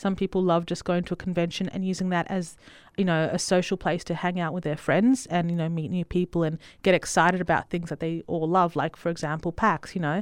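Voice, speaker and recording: Over a quiet background, a woman with an Australian accent speaks at a fairly quick pace with a fairly low pitch and fairly even intonation. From Italy, then Western Australia. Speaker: cosplayer and costume maker. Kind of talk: casual chat.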